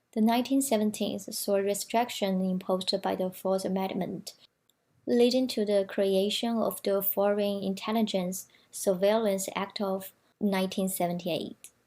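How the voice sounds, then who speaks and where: A woman with a dark, mellow tone speaks at a moderate pace in a medium pitch, with fairly even intonation and a Chinese accent. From China. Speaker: student presenter. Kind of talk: prepared presentation reading.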